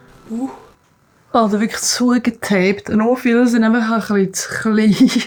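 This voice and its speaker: A woman's fairly high, somewhat breathy voice with a Swiss accent, fairly even intonation and a moderate pace. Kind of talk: casual vlog talk to camera. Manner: calm, relaxed.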